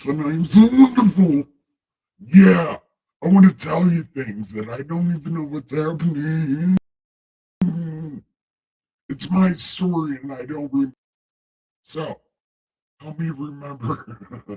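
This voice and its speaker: Using a put-on character voice pitched fairly high, a man talks at a fairly slow pace with long, frequent pauses. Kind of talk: theatrical. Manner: grandiose, jokey.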